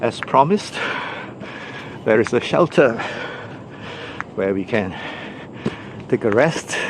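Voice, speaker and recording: Against noticeable background noise, a man talks at a fairly slow pace with lively intonation and long, frequent pauses. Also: medium pitch for a man. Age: 60s. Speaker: hiking vlogger. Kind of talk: vlog narration while hiking. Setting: outdoors on a forest trail. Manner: casual, hesitant with fillers.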